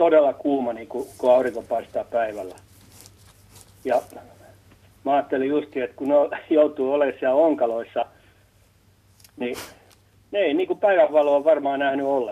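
At a moderate pace and fairly high pitch, a man talks with ordinary pitch variation and long, frequent pauses. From Sipoo, southern Finland. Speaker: caller. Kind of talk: call-in anecdote. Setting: phone call.

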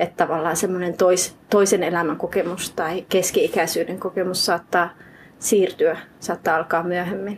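A woman's fairly low pitch with monotone, flat intonation, at a moderate pace. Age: 30s. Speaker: writer. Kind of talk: interview. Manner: halting.

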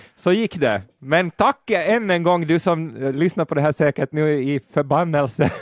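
At a moderate pace and with hardly any pauses, a man speaks at a very even loudness with ordinary pitch variation, the sound dry and close with no echo. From Finland. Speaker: podcast host. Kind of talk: casual chat.

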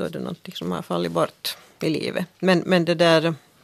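A woman talking at a fairly quick pace. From Finland, Helsinki (Swedish-speaking). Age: 50s. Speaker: journalist and author. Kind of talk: radio discussion. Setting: studio.

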